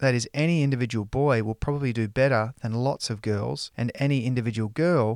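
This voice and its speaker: On a very clean recording with a silent background and a dry, close sound with no echo, a man in an ordinary speaking voice talks at a fairly quick pace with medium pitch and ordinary pitch variation. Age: 40s. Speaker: podcast host. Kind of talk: scripted narration.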